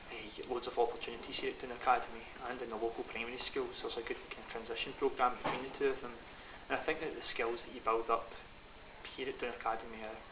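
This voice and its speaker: Over noticeable background noise and audible room echo, a man talks very fast with a Scottish accent. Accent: Scottish (Ayrshire). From Scotland, East Ayrshire. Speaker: primary school teacher. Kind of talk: interview.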